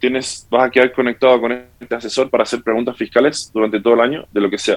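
A man speaks at a medium pitch. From Santiago, Chile. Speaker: tax tech company representative. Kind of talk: interview.

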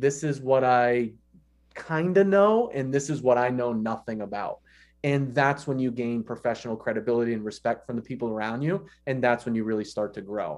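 A man with an unremarkable speaking voice, medium pitch, ordinary pitch variation, and a moderate pace. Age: 30s. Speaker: exercise physiology professor. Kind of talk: casual interview.

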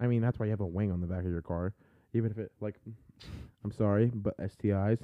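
Despite long, frequent pauses, a man with a fairly low voice keeps a fairly quick pace and fairly even intonation. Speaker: livestream host. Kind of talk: casual chat. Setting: live video stream. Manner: fast talker.

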